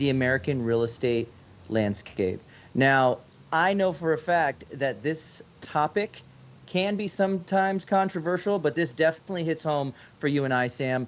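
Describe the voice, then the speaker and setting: An unremarkable speaking voice at a moderate pace. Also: man. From US, child of immigrant parents. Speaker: real estate agent, podcast co-host. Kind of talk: casual podcast discussion.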